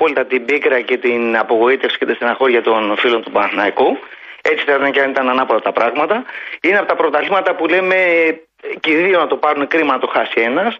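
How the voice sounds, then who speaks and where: The man's pitch is fairly high and his intonation lively. He talks at a very fast pace. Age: 50s. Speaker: sports radio caller, engineer. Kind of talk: phone-in football discussion. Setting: phone call.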